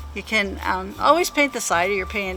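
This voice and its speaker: There's music in the background. Over it, a woman's voice is heard. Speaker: painting show host. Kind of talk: tutorial. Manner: casual, chatty.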